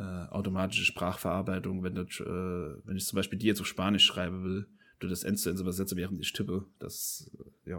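Against a silent background in a very clean recording, a man with a very deep, low pitch speaks at a moderate pace in a monotone, flat intonation. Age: 20s. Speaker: podcast host. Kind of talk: casual chat. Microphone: new USB microphone.

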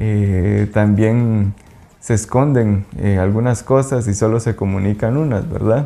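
Speaking with a Guatemalan accent at a very slow pace, this voice has a dark, mellow tone, very even loudness and fairly even intonation. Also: man, fairly low pitch for a man. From Guatemala, Quetzaltenango (Xela). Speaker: small business owner, food and sustainability advocate. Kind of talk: interview. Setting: outdoors by a lake. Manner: halting, with fillers and repetitions.

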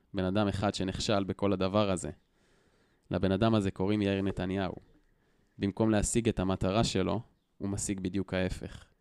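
A man speaks at a moderate pace with long, frequent pauses, fairly low pitch, and a monotone, flat intonation. The recording is very clean, silent in the background, with a dry, close sound and no echo. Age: 20s. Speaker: educator, target of online shaming. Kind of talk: interview storytelling.

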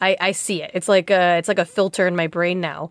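A woman with a Chicago accent speaks in an animated tone at a medium pitch. The recording is very clean with a silent background, and the sound is dry and close with no echo. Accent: general American, Chicago. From Chicago, US. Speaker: podcast host. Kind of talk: casual chat, podcast conversation. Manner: animated, laughs often.

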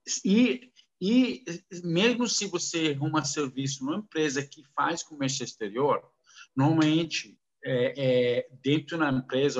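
The intonation here is lively. A man delivers it at a fairly slow pace. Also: big swings in loudness. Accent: non-native. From Kuwait and Saudi Arabia, Lebanese descent. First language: Arabic (speaking Portuguese). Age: 50s. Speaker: businessman in foreign trade. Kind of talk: casual interview. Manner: halting, mixing English into Portuguese.

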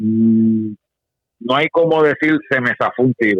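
A man talks in a normal speaking voice at medium pitch, with lively intonation. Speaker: practical shooting competitor. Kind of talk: casual interview.

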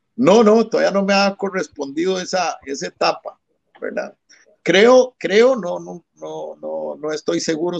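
A man at a fairly slow pace, the sound dry and close with no echo. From Costa Rica, San José (La Sabana). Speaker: constitutional lawyer and politician. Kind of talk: political interview. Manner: formal.

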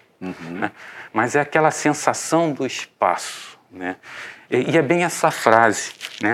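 A man's medium-pitched voice with very wide pitch swings and long, frequent pauses. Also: fairly slow pace. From Rio de Janeiro. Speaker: architect and urban planning professor. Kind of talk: interview.

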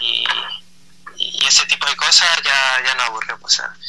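A man is talking, and background noise can clearly be heard behind him. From Chile. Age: 20s. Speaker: protest movement member. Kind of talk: radio interview. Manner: halting, many repetitions.

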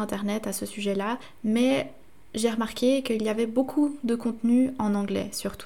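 At a moderate pace, a woman talks with a fairly high pitch and fairly even intonation in a normal speaking voice. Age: 20s. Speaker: podcast host. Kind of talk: solo podcast monologue.

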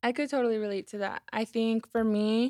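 A woman with a plain, everyday voice speaks at a fairly high pitch and with fairly even intonation. The sound is dry and close, with no echo. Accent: American. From Colorado. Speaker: legislative analyst. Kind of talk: casual chat.

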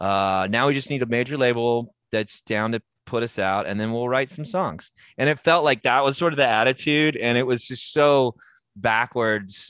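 At a moderate pace, a man speaks at a medium pitch with ordinary pitch variation, the sound dry and close with no echo and the background quiet. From Texas, Denton. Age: 40s. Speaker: rock singer and comedian. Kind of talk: casual interview chat. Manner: halting, many fillers and restarts.

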